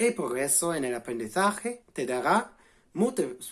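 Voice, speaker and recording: With an English accent, a man talks at a very slow pace, his fairly high pitch moving in very wide swings. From England. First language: English (speaking Spanish). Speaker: language learning vlogger. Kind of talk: vlog explainer. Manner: halting, self-correcting.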